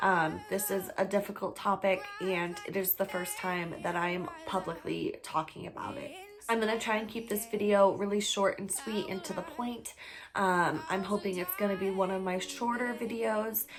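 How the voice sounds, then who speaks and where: Noticeable background noise accompanies a woman with a medium pitch. She keeps a moderate pace with ordinary pitch variation. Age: 20s. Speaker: mental health advocate / vlogger. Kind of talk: personal vlog testimony. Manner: halting, with pauses.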